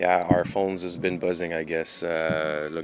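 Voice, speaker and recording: A man speaks with a Quebec accent in a very deep, low pitch and a monotone, flat intonation, over noticeable background noise. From Quebec, Montreal. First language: French. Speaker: professional soccer goalkeeper. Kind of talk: press conference interview. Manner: halting, many fillers.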